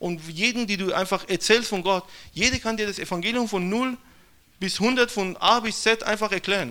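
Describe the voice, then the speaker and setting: A man speaks in a raised, projected voice. His pitch is high and his tone bright and sharp. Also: ordinary pitch variation, moderate pace. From Iran. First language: Persian (speaking German). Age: young. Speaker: missionary. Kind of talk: testimony.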